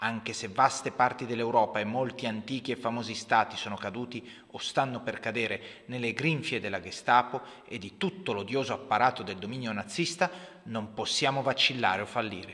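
At a fairly quick pace, a man talks at a medium pitch in a solemn tone with ordinary pitch variation. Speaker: history podcaster. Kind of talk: podcast history narration with a read-out wartime speech, in Italian translation. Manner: solemn, rhetorical, rousing delivery in the speech passage; measured, explanatory, with some hesitations.

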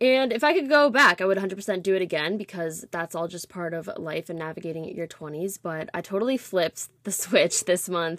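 Moving at a moderate pace, a woman at medium pitch uses an ordinary speaking voice with lively intonation and big swings in loudness. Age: 20s. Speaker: podcast host. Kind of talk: casual monologue.

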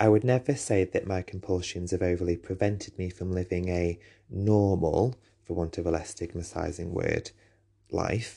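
Against a quiet background, a man with a very deep, low pitch and a dark, mellow tone speaks somewhat breathily at a moderate pace. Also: fairly even intonation. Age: 30s. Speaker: teacher and podcast host. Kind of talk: personal monologue.

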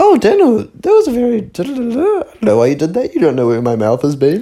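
Putting on a character voice, a man talks very fast at a high pitch. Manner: prim, proper.

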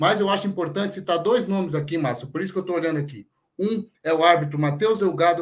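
A man speaks in a normal speaking voice. His pitch variation is ordinary. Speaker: football pundit. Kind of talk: casual chat.

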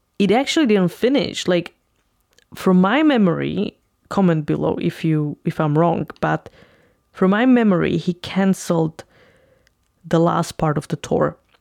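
A woman with a fairly low pitch speaks at a fairly slow pace, leaving long, frequent pauses. Her loudness is very even, her pitch varies in an ordinary way, and the sound is dry and close with no echo. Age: 30s. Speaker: YouTube reviewer. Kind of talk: casual monologue review.

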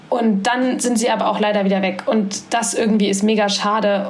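A woman with a medium pitch talks at a moderate pace. Audible room echo and noticeable background noise accompany her. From Saxony-Anhalt, eastern Germany (Halle an der Saale). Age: 20s. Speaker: student and volunteer. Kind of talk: casual interview.

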